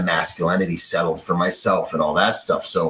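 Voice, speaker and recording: An American accent at a moderate pace amid noticeable background noise. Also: man. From Bahamas and Washington State, US. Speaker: security agent and military veteran. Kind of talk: podcast interview. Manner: animated.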